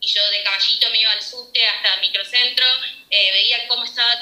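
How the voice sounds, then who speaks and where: A woman speaks with a Rioplatense accent and fairly even intonation. Noticeable background noise and audible room echo are present. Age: 20s. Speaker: pastry chef. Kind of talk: interview.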